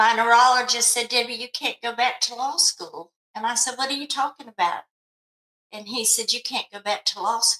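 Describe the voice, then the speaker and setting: The speaker is a woman with a high pitch. Her intonation stays fairly even. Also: moderate pace. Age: 70s. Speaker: mental health specialist. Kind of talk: interview testimony. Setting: podcast.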